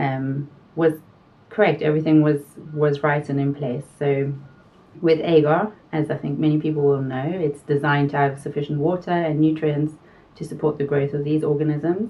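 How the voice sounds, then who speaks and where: With a South African accent, a woman speaks at a moderate pace in a very deep, low pitch, her intonation monotone and flat. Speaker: pharmaceutical quality consultant. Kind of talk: interview.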